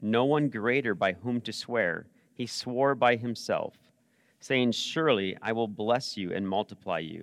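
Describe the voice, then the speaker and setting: The man has an ordinary speaking voice at a medium pitch. He talks at a fairly slow pace with ordinary pitch variation. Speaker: church service leader reading scripture. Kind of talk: reading aloud. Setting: church.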